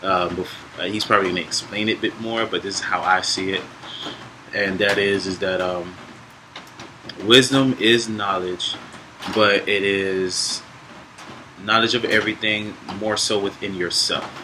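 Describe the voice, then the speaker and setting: Amid noticeable background noise, a man speaks at a moderate pace in a monotone, flat delivery broken by long, frequent pauses. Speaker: podcast co-host. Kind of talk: casual talk on spirituality. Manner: loud.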